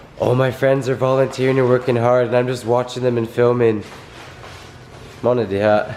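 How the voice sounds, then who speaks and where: A soft-spoken man of medium pitch at a fairly quick pace, with long, frequent pauses and noticeable background noise. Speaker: vlogger and volunteer relief organizer. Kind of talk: casual vlog narration. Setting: indoors at night while packing relief bags. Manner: quiet, soft-spoken; animated.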